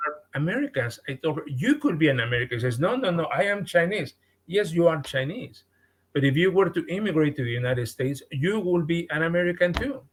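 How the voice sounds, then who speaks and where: Very fast and full of lively intonation, the speech comes in a Mexican accent. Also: man, high pitch for a man. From Mexico. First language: Spanish. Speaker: podcast guest. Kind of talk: podcast interview. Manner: halting, with frequent repetitions.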